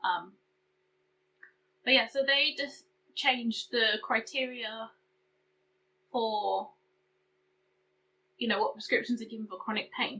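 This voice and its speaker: Speaking at a fairly slow pace with long, frequent pauses, a woman with a British accent uses a fairly high pitch and ordinary pitch variation. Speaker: beauty and chronic illness vlogger. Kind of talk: casual vlog update. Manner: hesitant, filler-heavy.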